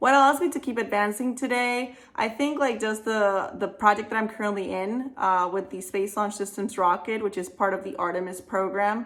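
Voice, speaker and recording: Someone with a Spanish accent talks at a moderate pace in an enthusiastic tone, with hardly any pauses. Noticeable background noise is present. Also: woman, fairly high pitch for a woman, ordinary pitch variation. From Venezuela. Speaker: aerospace engineer. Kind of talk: career advice Q&A monologue.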